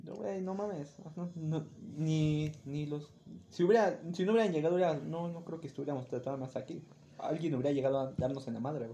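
Fairly quick and with ordinary pitch variation, this is an ordinary speaking voice. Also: man, fairly high pitch for a man. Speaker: podcast co-host. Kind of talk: casual chat.

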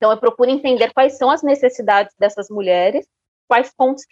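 In a dry, close recording with no echo, a woman speaks at a high pitch with fairly even intonation. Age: 40s. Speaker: marketing consultant. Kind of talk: interview.

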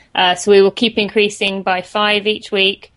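Against a quiet background, a woman with a British accent speaks in a monotone, flat intonation. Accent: British English with some American words. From St Albans, England. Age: 20s. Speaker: runner and podcast host. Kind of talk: casual interview chat.

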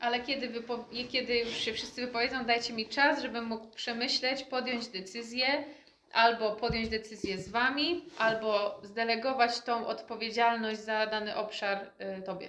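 A woman with a fairly high pitch and fairly even intonation has a plain, everyday voice. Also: moderate pace. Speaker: interpreter. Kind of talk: interpreting.

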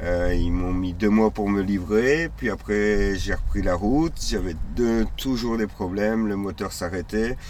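The room echo is audible as a man speaks very slowly with hardly any pauses. His voice is fairly low, with ordinary pitch variation. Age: 40s. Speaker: nomadic cyclist traveller. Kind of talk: interview. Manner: halting.

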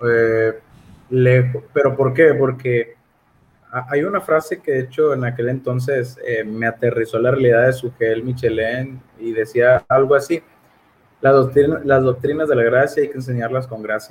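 A man speaks at a moderate pace and medium pitch, somewhat breathy. His intonation is fairly even. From Mexico, Monterrey, Nuevo León. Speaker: lay theology enthusiast, Reformed Baptist. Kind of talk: casual theological conversation. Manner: halting, repeats words.

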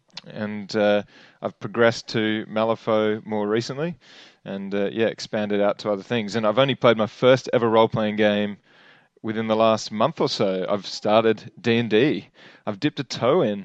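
Recorded with a dry, close sound with no echo against a quiet background, a man with an Australian accent talks at a moderate pace, his pitch fairly low and his intonation fairly even. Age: 30s. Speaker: podcast host. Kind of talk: casual chat.

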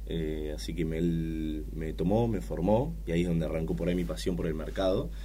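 Very wide pitch swings mark this man's very deep, low voice as he talks at a fairly quick pace. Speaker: head of trading. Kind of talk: casual interview.

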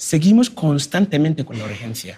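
A man's voice with a dark, mellow tone. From Ghana. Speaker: migrant and education charity founder. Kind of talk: talk.

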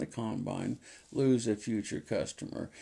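On a very clean recording with a silent background, a man speaks at a moderate pace in a dark, mellow tone. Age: 70s. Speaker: podcast host and farmer. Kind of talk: solo monologue. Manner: halting, many fillers.

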